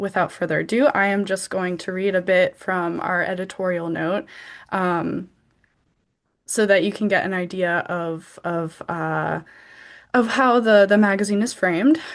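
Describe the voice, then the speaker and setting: Fairly slow and broken by long, frequent pauses, a woman speaks at a medium pitch with ordinary pitch variation and an American accent against a quiet background. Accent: American accent in Georgian words. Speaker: literary magazine editor. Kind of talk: event presentation. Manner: hesitant, many fillers.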